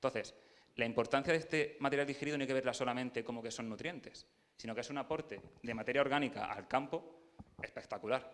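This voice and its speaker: A man with an Andalusian accent speaks at a very fast pace, his pitch fairly high and his intonation fairly even. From Andalusia, Jaén. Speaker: agronomist presenting at field day. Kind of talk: technical talk to audience.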